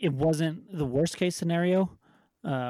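In a very clean recording with a silent background, a man with an unremarkable speaking voice talks fairly slowly with fairly even intonation. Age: 30s. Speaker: podcast co-host. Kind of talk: casual chat.

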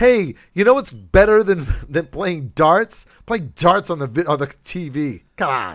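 Fairly slow yet with hardly any pauses, a man's high voice makes very wide pitch swings on a very clean recording with a silent background. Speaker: comedy podcast host. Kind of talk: casual comedy chat. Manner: laughs often, joking.

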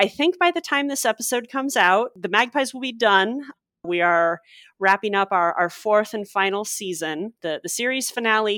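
Using a normal speaking voice, a woman talks at a moderate pace with a fairly high pitch and lively intonation, in a dry, close sound with no echo on a very clean recording with a silent background. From US Midwest, St. Louis. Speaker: copy editor and podcaster. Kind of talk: casual chat.

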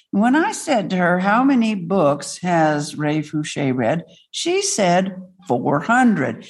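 Delivered at a very slow pace, the voice swings very widely in pitch while its loudness stays very even. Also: woman, medium pitch for a woman. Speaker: organization president and moderator. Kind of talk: event moderation. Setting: room with live audience and Zoom.

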